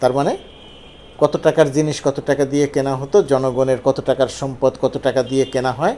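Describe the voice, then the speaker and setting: A man talks in a plain, everyday voice. His pitch is fairly high and his intonation fairly even. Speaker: political commentator. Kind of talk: monologue commentary on news.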